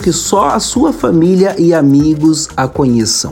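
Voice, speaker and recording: A man's warm-toned, fairly high voice with lively intonation, over music in the background. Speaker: preacher and radio host. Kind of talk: sermon-style devotional teaching on a radio program. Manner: earnest, warm, exhortative, direct address to listeners.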